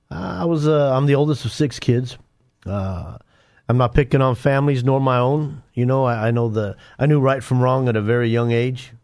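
In a normal speaking voice with an American accent, a man talks at a moderate pace and medium pitch, with ordinary pitch variation and a quiet background. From Denver, Colorado. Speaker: former gang member turned ministry author. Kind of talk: testimony.

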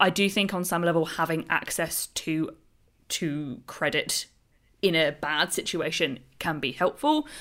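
In a very clean recording with a silent background, a woman speaks with a British accent. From UK. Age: 30s. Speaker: podcast host on personal finance. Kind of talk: casual interview.

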